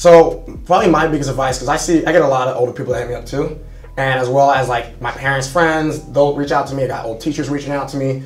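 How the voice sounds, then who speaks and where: A man's very fast, fairly high-pitched speech with fairly even intonation, audible room echo and noticeable background noise. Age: 20s. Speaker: young entrepreneur and social media influencer. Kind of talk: interview on a live stream. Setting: studio at a sales trainer's headquarters.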